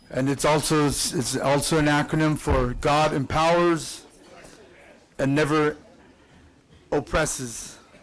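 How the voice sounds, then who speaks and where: A man with an American accent, fairly high pitch, flat monotone intonation, a fairly slow pace and long, frequent pauses. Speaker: student and spoken word musician. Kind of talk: speech at a dinner. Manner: halting, many repetitions and fillers.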